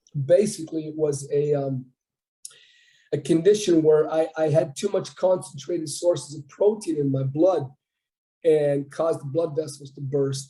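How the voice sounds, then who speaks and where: A man talks at a moderate pace in a fairly high pitch. His tone is dark and mellow, and somewhat breathy. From Ontario, Canada (French-speaking town). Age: 60s. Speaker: bodybuilder. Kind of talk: interview.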